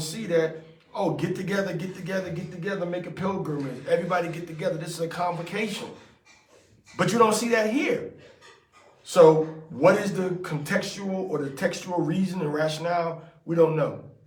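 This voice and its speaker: A man talks at a fairly quick pace and a high pitch, with fairly even intonation. Noticeable background noise and audible room echo fill the recording. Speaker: religious teacher. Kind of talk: scripture study with commentary. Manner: fast; casual, conversational.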